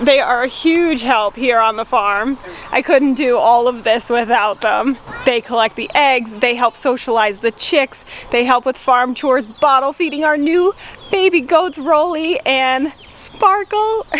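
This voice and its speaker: Over noticeable background noise, a woman with an American accent speaks at a fairly slow pace in a high pitch, her intonation lively. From Rhode Island. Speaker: farm vlogger. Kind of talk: casual vlog talk.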